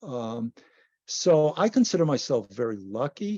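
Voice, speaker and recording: Against a quiet background, a man with a dark, mellow tone swings very widely in pitch, the sound dry and close with no echo. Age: 70s. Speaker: long-distance hiker and author. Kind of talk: presentation Q&A.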